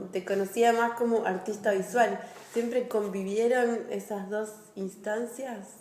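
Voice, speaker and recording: A woman speaks at a fairly slow pace in a monotone, flat intonation, with noticeable background noise and audible room echo. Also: fairly high pitch for a woman. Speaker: podcast host. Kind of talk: interview.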